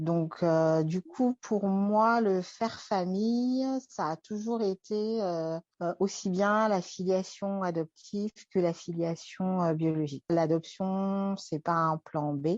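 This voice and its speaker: Ordinary pitch variation at a very slow pace, with a dry, close sound and no echo. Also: woman, medium pitch for a woman, quiet background. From France. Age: 30s. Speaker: interview guest. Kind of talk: personal testimony. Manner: hesitant, many fillers.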